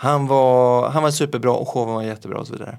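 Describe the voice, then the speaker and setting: The voice belongs to a man and sits at a medium pitch. Its variation in pitch is ordinary. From Gothenburg, Sweden. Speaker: magician. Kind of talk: casual chat.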